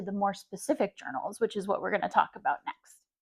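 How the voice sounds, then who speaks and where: A woman talks at a fairly quick pace with a medium pitch and ordinary pitch variation. The sound is dry and close, with no echo. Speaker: journaling YouTuber. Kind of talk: casual vlog talk. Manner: hesitant with many fillers.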